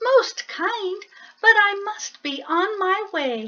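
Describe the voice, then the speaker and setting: A woman in a squeaky, put-on character voice talks very slowly at an extremely high pitch. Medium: read story. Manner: soft, polite, murmuring.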